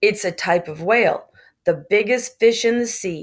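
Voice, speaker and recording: Using a put-on character voice, a woman speaks raspily at a medium pitch with ordinary variation and a moderate pace. The recording is very clean, with a silent background. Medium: read story. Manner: blunt, pointed.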